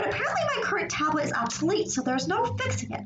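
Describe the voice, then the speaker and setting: Amid noticeable background noise and audible room echo, a woman talks at a fairly quick pace. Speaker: streamer and artist. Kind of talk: casual chat during live drawing stream. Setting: live stream with a laptop and camera.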